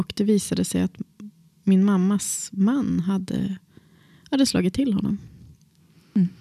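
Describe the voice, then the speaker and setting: A woman's somewhat breathy voice in a dark, mellow tone, fairly slow, with a dry, close sound with no echo. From Västerbotten, northern Sweden. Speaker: drama teacher and actor. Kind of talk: personal interview.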